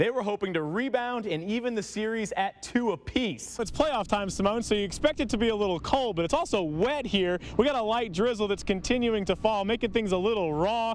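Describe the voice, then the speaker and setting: An upbeat, energetic tone at a fairly quick pace, with ordinary pitch variation. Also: man, high pitch for a man. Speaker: sports anchor and reporter. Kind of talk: TV sports broadcast reporting.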